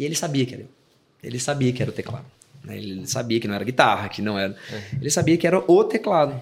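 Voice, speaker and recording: This man talks at a very fast pace with lively intonation and big swings in loudness. His medium-pitched voice is somewhat breathy. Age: 30s. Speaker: worship pastor and musician. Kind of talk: casual chat.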